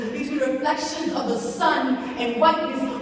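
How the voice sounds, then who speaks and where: Over noticeable background noise, a woman with an American accent speaks in an intense tone with lively intonation at a moderate pace. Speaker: slam poet. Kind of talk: spoken word poetry performance to a live audience. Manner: intense, emotional, rhythmic.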